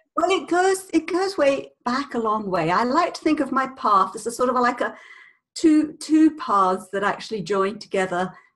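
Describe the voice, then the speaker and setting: Her voice has a British accent and a high pitch. This woman's pitch swings are very wide. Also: moderate pace. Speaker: communication coach, former speech therapist. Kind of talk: interview.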